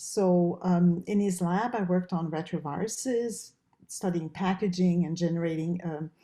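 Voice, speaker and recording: This woman has a French Canadian accent and a dark, mellow tone at medium pitch. She talks at a moderate pace with fairly even intonation. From Quebec, Canada. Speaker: professor and research dean. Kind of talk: interview.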